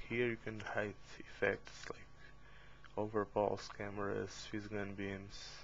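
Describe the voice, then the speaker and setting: A man with a non-native accent speaks in a fairly low, monotone, flat voice. His pace is very slow. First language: not English. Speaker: game tutorial maker. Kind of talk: tutorial. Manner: halting, with fillers.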